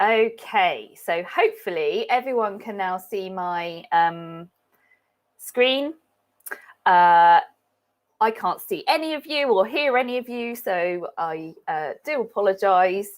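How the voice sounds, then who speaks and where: A woman's lively intonation at a very slow pace. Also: medium pitch for a woman. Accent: British. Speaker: animal behaviourist. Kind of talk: webinar lecture. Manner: halting with many fillers.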